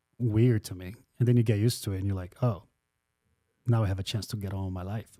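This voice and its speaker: Speaking very fast with big swings in loudness, a man uses a fairly low, dark, mellow voice and fairly even intonation on a very clean recording with a silent background. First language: not English. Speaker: podcast host. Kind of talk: casual chat.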